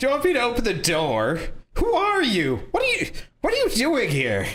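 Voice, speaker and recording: A man's put-on character voice at an extremely high pitch and a moderate pace, with audible echo. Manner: frightened, scared.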